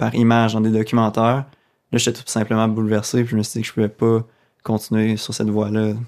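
In a very clean recording with a silent background, a man talks at a fairly quick pace and medium pitch. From Quebec, Abitibi. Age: 20s. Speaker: graduate student in animal ethics. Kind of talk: radio interview.

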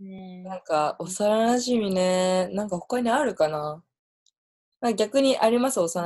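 Her tone dark and mellow, a woman speaks at a fairly slow pace with lively intonation. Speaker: podcast host. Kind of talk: casual chat.

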